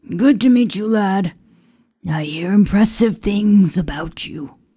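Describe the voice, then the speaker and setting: In a put-on character voice, raspy and gruff at a middle pitch, the speaker goes at a fairly slow pace. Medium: read story.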